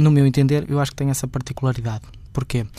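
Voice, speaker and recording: A man's dark, mellow tone holds a medium pitch with fairly even intonation. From Portugal, Guimarães. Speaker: fado singer. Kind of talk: interview. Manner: halting.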